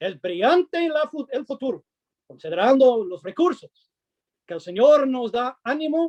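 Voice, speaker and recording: A man's extremely high-pitched voice with a dark, mellow tone, at a fairly slow pace, in a dry, close sound with no echo. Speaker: preacher. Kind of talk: sermon.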